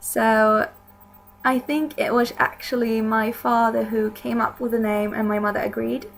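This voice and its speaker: At a fairly slow pace, a woman talks with a Swedish accent. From Sweden. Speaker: video blogger. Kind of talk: casual vlog talk.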